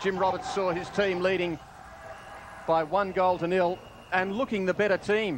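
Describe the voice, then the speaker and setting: A man with a high voice speaks at a moderate pace over noticeable background noise. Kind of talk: live sports commentary. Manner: animated, with exclamations.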